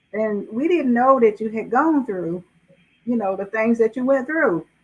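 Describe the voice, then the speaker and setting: A woman with a Southern US accent and lively intonation at a moderate pace. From US South, South Carolina. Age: 80s+. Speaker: author. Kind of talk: interview.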